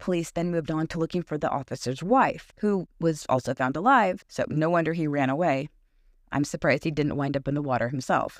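The speaker has an American accent and a fairly quick pace. The sound is dry and close with no echo, over a quiet background. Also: woman, very deep, low pitch for a woman, ordinary pitch variation. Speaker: true crime podcast host. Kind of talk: true-crime narration. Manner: measured, storytelling delivery with dry wit; conversational and reflective in asides.

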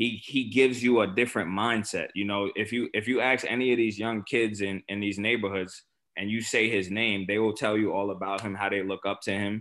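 Fairly low in pitch, a man speaks in a monotone, flat way at a fairly quick pace with hardly any pauses. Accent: New York. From Staten Island, New York. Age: 30s. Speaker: former pro football player. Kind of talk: casual chat. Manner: hesitant fillers.

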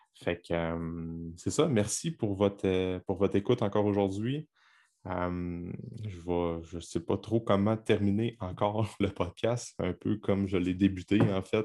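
On a very clean recording with a silent background, a man with a fairly low pitch and a dark, mellow tone speaks at a very slow pace with ordinary pitch variation. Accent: Quebec. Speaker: podcast host and fitness coach. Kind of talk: solo podcast monologue. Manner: hesitant, many filler words.

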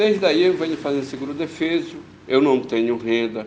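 A man speaks with ordinary pitch variation. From Pará, Brazil (Baião). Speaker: fishermen's leader and activist. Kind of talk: testimony.

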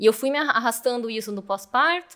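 Lively intonation runs through this woman's speech. She keeps a moderate pace. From Brazil, Curitiba. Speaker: mechanical engineer and manager. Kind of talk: interview.

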